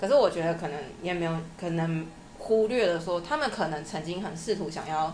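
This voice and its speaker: Over noticeable background noise and audible room echo, a woman with a fairly low pitch talks at a fairly quick pace with ordinary pitch variation. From Taiwan, Changhua. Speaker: interview guest, former master's student in Germany. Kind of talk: casual interview.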